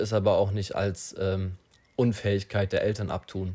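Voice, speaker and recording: A man's fairly low pitch and dark, mellow tone come through at a moderate pace in a very clean recording with a silent background. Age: young. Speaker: podcaster. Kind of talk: solo monologue. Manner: halting, many fillers.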